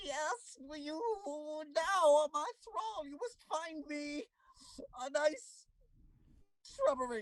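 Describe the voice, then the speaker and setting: The speaker uses a put-on character voice at a high pitch. Delivery is very slow, with long, frequent pauses. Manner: menacing, commanding, comedic.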